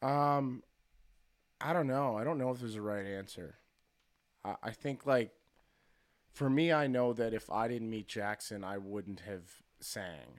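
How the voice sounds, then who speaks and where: A man at medium pitch speaks fairly slowly with lively intonation and long, frequent pauses, in a very clean recording with a silent background. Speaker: musician and producer. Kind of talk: casual chat. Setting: studio. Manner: halting.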